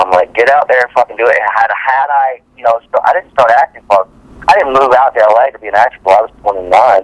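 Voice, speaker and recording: The voice runs at a very fast pace with ordinary pitch variation, dry and close with no echo but with noticeable background noise. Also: man. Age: 40s. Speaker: actor. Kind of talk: interview.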